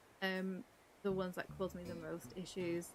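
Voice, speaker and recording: Music plays behind the woman as she talks. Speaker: game streamer. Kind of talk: casual chat. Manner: halting.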